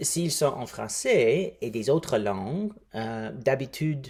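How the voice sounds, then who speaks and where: Very slow and somewhat breathy, a man speaks at a fairly high pitch with lively intonation. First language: English (speaking French). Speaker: linguistic anthropologist. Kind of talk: recruitment appeal. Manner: halting.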